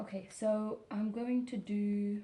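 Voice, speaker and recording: Soft-spoken and somewhat breathy, a woman talks in a dark, mellow tone with ordinary pitch variation. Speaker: ASMR content creator, wax seal hobbyist. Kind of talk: ASMR sleep relaxation talk, explaining a craft. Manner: quiet, slow, soft-spoken.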